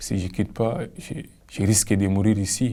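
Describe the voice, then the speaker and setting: Speaking in a Cameroonian accent, a man uses a dark, mellow, fairly low voice at a fairly slow pace with ordinary pitch variation. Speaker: migrant. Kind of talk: personal testimony.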